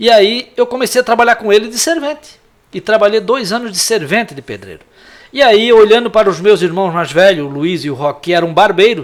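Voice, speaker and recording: Lively in intonation, a man with a high voice talks at a fairly quick pace. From Santa Catarina, Brazil (Antônio Carlos, Greater Florianópolis). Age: 60s. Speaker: lawyer and former city councillor. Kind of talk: interview.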